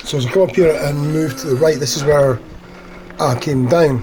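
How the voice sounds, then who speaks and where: Over noticeable background noise, a man speaks with ordinary pitch variation. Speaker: cycling vlogger. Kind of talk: casual vlog narration. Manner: fast.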